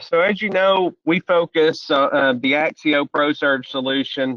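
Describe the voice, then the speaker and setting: A man with a strong Southern US accent speaks with ordinary pitch variation. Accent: deep Southern US. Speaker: solution strategist presenting a software webcast. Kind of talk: webcast presentation. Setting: online webcast.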